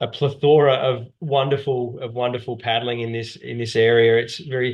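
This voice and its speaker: The speaker is a man with an Australian accent and a medium pitch. He keeps a moderate pace and a monotone, flat intonation. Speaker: whitewater paddling instructor and outdoor business owner. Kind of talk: webinar presentation.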